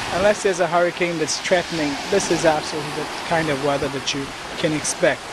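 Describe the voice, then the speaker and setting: Over loud background noise, a man with a fairly high pitch talks at a very fast pace. His intonation stays fairly even, and the sound is dry with no echo. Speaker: wedding planner; wedding planner or guide. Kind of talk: promotional tour. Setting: outdoors. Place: beach.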